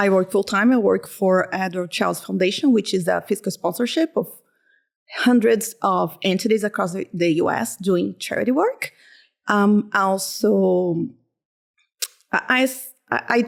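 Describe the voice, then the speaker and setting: A woman speaks with a Portuguese accent and lively intonation. She leaves long, frequent pauses. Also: medium pitch for a woman, fairly slow pace, very clean recording, silent background. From Brazil. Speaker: accountant and community volunteer. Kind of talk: casual chat.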